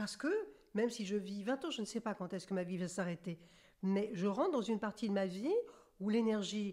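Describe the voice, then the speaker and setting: Ordinary pitch variation runs through a dark, mellow tone. The delivery is fairly quick. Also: woman. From central France. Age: 60s. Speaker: medium and author. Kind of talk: interview.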